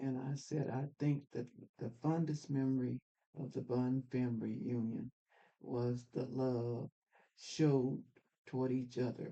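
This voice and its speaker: A woman's very deep, low voice, dark and mellow in tone, with monotone, flat intonation and long, frequent pauses. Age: 80s+. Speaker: family elder. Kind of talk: testimony. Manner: halting.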